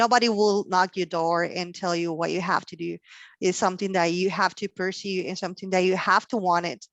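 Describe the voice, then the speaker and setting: The speaker has a Mexican accent, a moderate pace and fairly even intonation, with a dry, close sound and no echo. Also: woman. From Mexico, Sonora. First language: Spanish. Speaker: logistics professional. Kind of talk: career talk interview. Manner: halting, many fillers.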